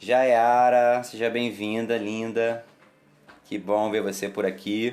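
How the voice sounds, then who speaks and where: At a very slow pace, a man speaks in a monotone, flat intonation at a medium pitch. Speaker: umbanda temple leader. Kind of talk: live stream chat. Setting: Facebook live stream.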